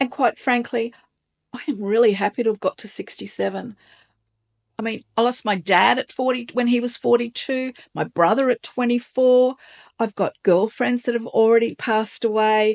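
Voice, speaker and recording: A plain, everyday voice speaks at a moderate pace with fairly even intonation. The sound is dry and close with no echo against a quiet background. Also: woman, fairly high pitch for a woman. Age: 60s. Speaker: lifestyle vlogger. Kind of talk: casual talk to camera.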